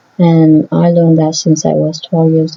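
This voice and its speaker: Somewhat breathy, a woman speaks at a fairly slow pace with a fairly low pitch. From Vietnamese family background. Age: 30s. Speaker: vlogger. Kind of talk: opinion vlog monologue.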